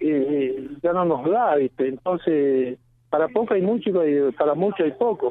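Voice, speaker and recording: A man with an unremarkable speaking voice talks at a fairly slow pace, his pitch fairly high and its variation ordinary. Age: 40s. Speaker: citrus farmer. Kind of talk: radio interview.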